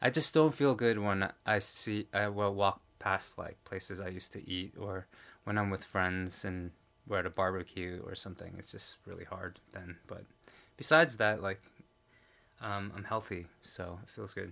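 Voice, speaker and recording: A man with an ordinary speaking voice, pitched fairly low, talking at a moderate pace. His loudness swings widely while his pitch varies in an ordinary way. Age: 40s. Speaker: podcast co-host, filmmaker. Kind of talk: casual chat.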